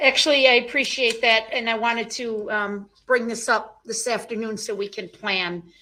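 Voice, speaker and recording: A woman talks with hardly any pauses at a fairly high pitch. Her loudness swings widely. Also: fairly even intonation, moderate pace. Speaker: prosecutor. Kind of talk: courtroom proceedings. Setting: courtroom.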